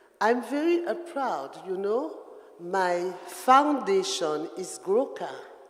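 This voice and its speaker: The speaker has a French Caribbean accent. The pace is very slow. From Guadeloupe. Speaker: dancer. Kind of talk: talk at performance event. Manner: halting.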